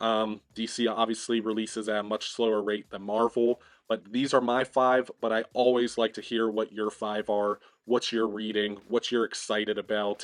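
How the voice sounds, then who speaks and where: A strained, medium-pitched man's voice at a moderate pace, with a dry, close sound with no echo and a quiet background. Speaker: comic book collector YouTuber. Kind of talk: casual video review. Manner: strained, pushing volume.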